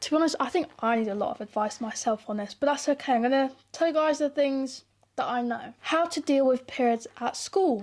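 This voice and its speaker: In a British accent, a woman talks at a fairly quick pace with a high pitch. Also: ordinary pitch variation. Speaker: YouTuber. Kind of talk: casual advice monologue to camera. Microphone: new mic.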